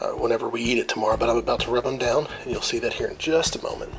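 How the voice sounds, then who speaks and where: Whispering at a very fast pace, a man speaks over noticeable background noise. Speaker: home cook showing a recipe. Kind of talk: cooking tutorial. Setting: at home at night.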